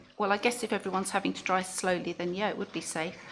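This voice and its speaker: A woman's medium-pitched voice comes through with vocal fry. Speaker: local councillor. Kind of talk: committee debate. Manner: halting, many fillers.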